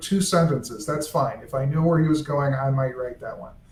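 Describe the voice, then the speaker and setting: A man with a fairly high pitch, over noticeable background noise. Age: old. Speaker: author's son and estate editor. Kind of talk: casual chat. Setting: live video stream.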